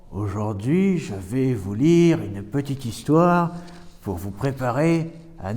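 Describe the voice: Lively intonation in plain reading aloud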